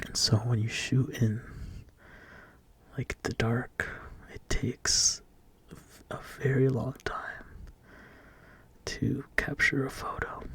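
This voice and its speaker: Soft-spoken and very slow, the voice moves along with long, frequent pauses. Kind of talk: ASMR soft-spoken relaxation talk showing photos. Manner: soft-spoken, slow, relaxing.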